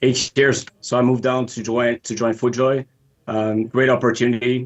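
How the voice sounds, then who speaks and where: A man speaks with a Montreal accent at medium pitch. His pace is moderate and his intonation monotone and flat. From Quebec, Montreal. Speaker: footwear designer. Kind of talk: interview.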